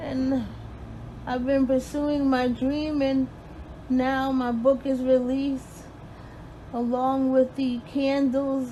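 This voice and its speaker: Very slowly and in a flat monotone, a woman talks in a high voice. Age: 50s. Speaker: registered nurse. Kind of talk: personal appeal to camera.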